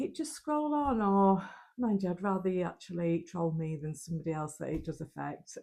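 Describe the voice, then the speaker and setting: A woman with a northern English accent talks at a moderate pace. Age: 50s. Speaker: lifestyle vlogger. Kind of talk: vlog talk to camera. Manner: casual, hesitant with ums.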